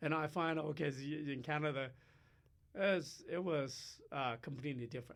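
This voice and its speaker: The speaker has a Chinese accent and a moderate pace. Their intonation stays fairly even. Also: man, fairly high pitch for a man. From China. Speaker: professor. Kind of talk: interview. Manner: halting, many fillers.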